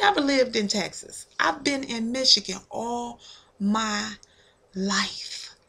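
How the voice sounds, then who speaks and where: A woman talks at a very slow pace, her pitch varying in an ordinary way. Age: 40s. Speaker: YouTuber. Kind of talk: vlog video response. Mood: earnest, reflective, faith-centered. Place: home room. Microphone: webcam.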